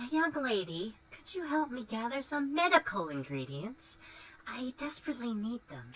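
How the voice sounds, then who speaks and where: Fairly high-pitched put-on character voice, delivered at a moderate pace. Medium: video game. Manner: sweet on the surface, sly.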